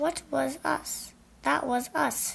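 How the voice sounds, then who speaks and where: A woman's high-pitched, put-on character voice. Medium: read story. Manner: calm, logical.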